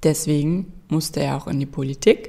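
A woman with a very deep, low pitch speaks at a moderate pace in a calm, deadpan tone. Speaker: narrator reading a fairy tale. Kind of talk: bedtime story telling. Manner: calm, storytelling cadence with wry, deadpan humor.

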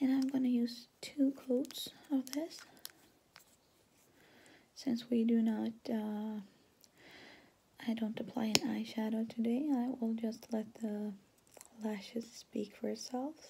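Whispering at a very slow pace, a soft-spoken woman leaves long, frequent pauses in a calm tone over light background noise. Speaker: ASMR artist, makeup roleplay. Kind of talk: ASMR roleplay, soft-spoken makeup application. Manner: soft, whispery, calm. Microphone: phone near.

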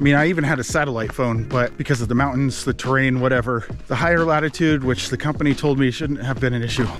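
Very fast speech with hardly any pauses and ordinary pitch variation, dry with no echo, over clear background music. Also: man. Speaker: vlogger. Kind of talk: casual vlog chat. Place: forest. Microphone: phone near.

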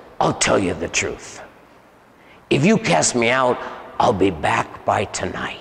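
In a put-on character voice, a man talks at a fairly slow pace with a medium pitch and long, frequent pauses. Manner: menacing, taunting.

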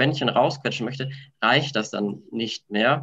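With an unremarkable speaking voice, a man talks at a fairly slow pace and with fairly even intonation over a quiet background. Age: 30s. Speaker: handball coach educator. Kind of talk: online panel discussion; panel discussion answer. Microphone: video call.

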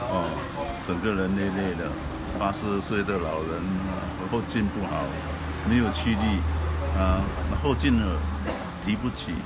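Over loud background noise, a man speaks at a fairly slow pace with long, frequent pauses. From Rengit, Malaysia. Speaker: retired school principal. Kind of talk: testimonial interview answer. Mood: calm, friendly. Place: hall. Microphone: phone near.

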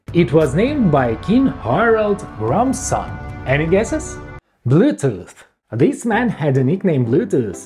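A man with a playful tone at a fairly slow pace, clear music in the background. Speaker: programmer and tech explainer. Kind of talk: casual tech explainer video narration. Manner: playful, humorous. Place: home room. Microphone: lapel.

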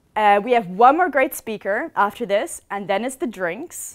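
A woman talks at a moderate pace with lively intonation and a fairly high pitch. The background is quiet. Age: 20s. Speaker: student talk speaker; speaker. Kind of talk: talk on stage. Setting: stage with audience. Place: hall. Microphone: headset.

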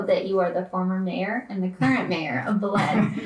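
A woman talks at a moderate pace, and audible room echo follows her words. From small town. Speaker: podcast co-host. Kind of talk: casual chat. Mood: upbeat, friendly. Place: home room.

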